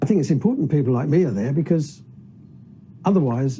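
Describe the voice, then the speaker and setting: This man's voice has a dark, mellow tone. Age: 70s. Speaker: citizens' assembly member, retired aircraft refueller. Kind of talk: documentary interview.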